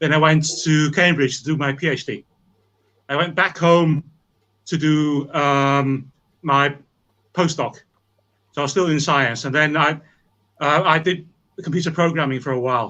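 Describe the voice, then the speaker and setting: Speaking at a moderate pace with a Welsh accent, the voice keeps a fairly even intonation and takes long, frequent pauses. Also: man, fairly high pitch for a man. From Wales, rural. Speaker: scientist. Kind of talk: interview.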